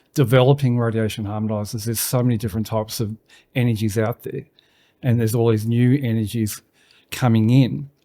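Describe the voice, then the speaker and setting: A man speaks at medium pitch with an Australian accent and a fairly quick pace. His intonation stays flat and monotone over a silent background in a very clean recording. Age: 60s. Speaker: business owner. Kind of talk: casual interview.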